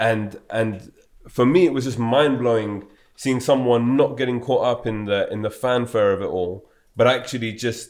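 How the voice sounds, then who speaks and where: Speaking in a plain, everyday voice, a man holds a medium pitch with ordinary pitch variation. His pace is moderate. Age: 20s. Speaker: podcast host. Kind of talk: interview conversation.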